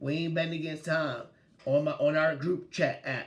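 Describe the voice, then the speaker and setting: A man talks in an animated tone at a fairly high pitch. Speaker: sports podcast host. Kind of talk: casual sports talk. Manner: loud.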